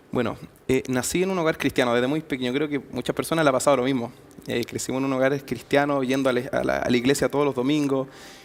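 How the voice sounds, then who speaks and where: Very fast speech from a man, his intonation fairly even. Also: medium pitch for a man. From Chile, Santiago area. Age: 20s. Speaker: youth church leader. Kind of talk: interview testimony.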